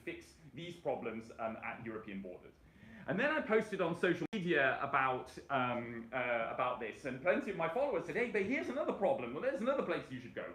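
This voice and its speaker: Against noticeable background noise and audible room echo, a man with a British accent and a high pitch talks at a very fast pace with very wide pitch swings. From Britain. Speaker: rail transport campaigner. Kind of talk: presentation. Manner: halting, many fillers.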